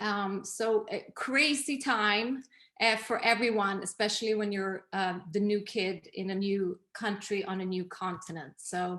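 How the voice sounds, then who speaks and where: In a Swedish accent, a woman talks at a fairly slow pace and medium pitch. Her tone is bright and sharp, with ordinary pitch variation. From Sweden. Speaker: image consultant and interior designer. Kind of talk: interview.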